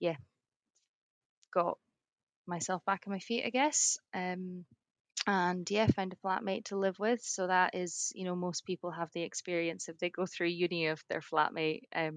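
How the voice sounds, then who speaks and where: At a moderate pace, a woman with a medium pitch speaks with fairly even intonation in a dry, close sound with no echo. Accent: Scottish. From Edinburgh, Scotland. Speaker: rural surveyor. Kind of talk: podcast interview answer.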